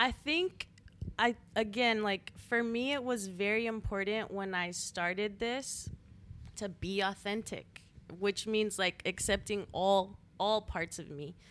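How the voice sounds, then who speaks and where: A plain, everyday voice with an American accent at a fairly slow pace, with ordinary pitch variation. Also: woman. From El Paso, Texas. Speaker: DJ and creative entrepreneur. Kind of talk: casual interview.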